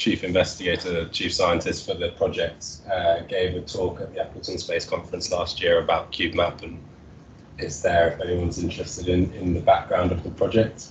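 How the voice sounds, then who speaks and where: Light background noise and audible room echo surround a man speaking at a fairly quick pace. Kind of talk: technical presentation. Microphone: video call.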